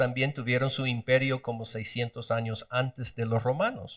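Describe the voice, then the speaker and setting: A somewhat breathy man talks at a moderate pace and medium pitch. The recording is very clean, with a silent background. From Guatemala. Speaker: Bible teacher. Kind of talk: bible study lecture.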